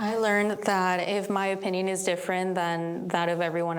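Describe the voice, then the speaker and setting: In a recording with audible room echo and noticeable background noise, a woman speaks at a fairly low pitch with fairly even intonation. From immigrant, outside US. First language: not English. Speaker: community leader. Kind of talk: panel discussion.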